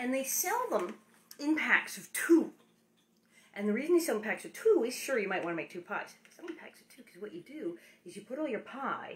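Light background noise sits behind a woman's voice. Her pitch swings very widely. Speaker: home cook host. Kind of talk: casual cooking tutorial. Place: kitchen. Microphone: phone near.

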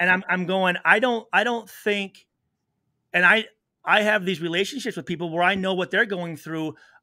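A man with an American accent speaks in a raised, projected voice at a moderate pace, his high pitch carrying a bright, sharp tone and ordinary pitch variation against a quiet background. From US Midwest. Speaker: retired pro football player; podcast guest. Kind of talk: interview. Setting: video call. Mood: earnest, reflective. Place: home room. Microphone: studio mic.

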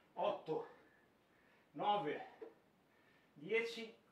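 A man's very slow speech rings with audible room echo. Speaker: fitness trainer. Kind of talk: tutorial. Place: gym. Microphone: camera far.

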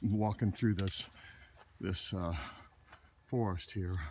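A man's somewhat breathy, dark and mellow voice at a fairly slow pace, with fairly even intonation, a dry sound with no echo, and noticeable background noise. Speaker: videographer. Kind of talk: casual chat. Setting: outdoors. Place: forest. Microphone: phone near.

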